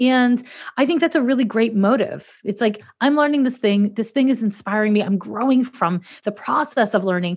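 Somewhat breathy and fairly high in pitch, a woman speaks at a fairly quick pace with ordinary pitch variation. Her loudness stays very even. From Montreal, Quebec, Canada. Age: 40s. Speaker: professional astrologer and podcast host. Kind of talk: casual interview chat.

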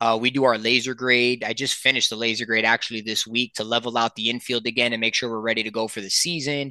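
Over a quiet background, a man of medium pitch speaks at a fairly quick pace in a bright, sharp tone, the sound dry and close with no echo. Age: 30s. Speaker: head groundskeeper for a minor league baseball team, former umpire. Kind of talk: casual interview chat.

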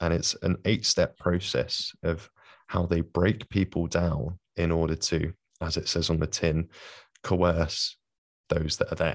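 In a London accent, a man with a very deep, low pitch speaks at a fairly slow pace with fairly even intonation, the sound dry and close with no echo against a quiet background. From London, England. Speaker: podcast host. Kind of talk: casual interview.

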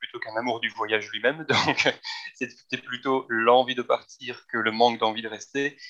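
A plain, everyday voice from a man, moderate in pace and medium in pitch. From Belgium. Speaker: travel agency team lead. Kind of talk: interview.

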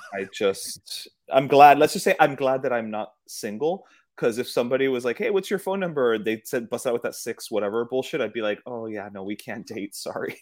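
A normal speaking voice moves at a fairly quick pace with lively intonation in a very clean recording with a silent background. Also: man, medium pitch for a man. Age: 40s. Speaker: guest podcaster. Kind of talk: casual chat.

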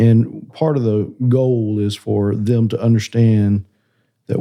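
Against a quiet background, a man with a Southern US accent speaks at a fairly low pitch in a dark, mellow tone with fairly even intonation. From South Carolina, small town. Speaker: connections pastor. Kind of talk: casual chat.

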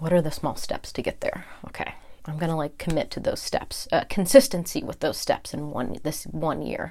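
A woman with an American accent speaks at a moderate pace with a fairly low pitch. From California. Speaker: podcast host and holistic health coach. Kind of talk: personal monologue.

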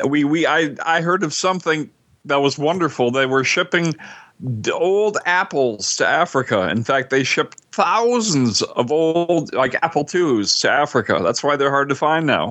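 A man's plain, everyday voice, fairly high in pitch, with very even loudness, lively intonation and a moderate pace. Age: 60s. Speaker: podcast co-host. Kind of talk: casual chat.

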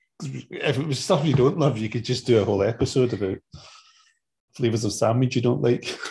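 A somewhat breathy male voice. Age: 40s. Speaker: podcast co-host, father. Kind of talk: casual chat.

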